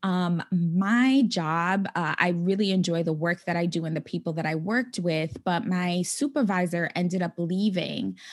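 In an American accent, a woman with an unremarkable speaking voice talks at a medium pitch and moderate pace with ordinary pitch variation against a quiet background. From New York City (the Bronx). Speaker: financial coach. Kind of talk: interview.

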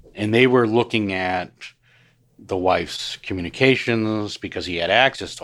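Recorded very cleanly against a silent background, a man speaks in a normal speaking voice at a moderate pace with ordinary pitch variation. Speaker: private investigator. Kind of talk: interview.

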